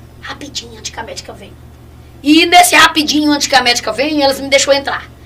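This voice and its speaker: Raised and projected, a woman's high-pitched voice races at a very fast pace over noticeable background noise. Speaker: evangelist giving testimony. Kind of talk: testimony.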